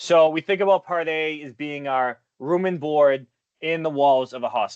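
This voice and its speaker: This man has a Boston accent and a fairly high pitch. He speaks at a moderate pace. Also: ordinary pitch variation. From Boston area, US. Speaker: retirement investment consultant. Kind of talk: webinar presentation. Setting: online webinar.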